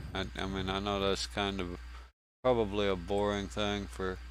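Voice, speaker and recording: A man with a Southern US accent, fairly low pitch and moderate pace, in a room with audible echo. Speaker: game streamer. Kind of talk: casual gameplay commentary. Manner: halting, with many restarts.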